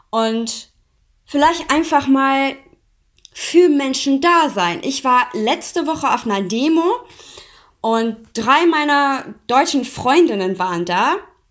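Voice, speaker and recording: A woman's high-pitched voice with lively intonation, at a very slow pace with long, frequent pauses, on a very clean recording with a silent background. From Iran. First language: Persian (speaking German). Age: 20s. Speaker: interview guest. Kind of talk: interview.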